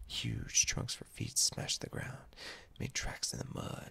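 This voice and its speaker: A man is whispering. His pace is fairly slow. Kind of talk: storytelling narration of a children's-style animal tale. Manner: whispered, soft-spoken.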